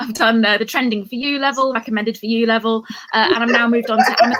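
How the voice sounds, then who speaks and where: Speaking at a fairly quick pace, a woman with an English accent uses a fairly high pitch and ordinary pitch variation. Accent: bland English accent, from Cambridge. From England, Cambridge. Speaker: comedian. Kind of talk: stand-up.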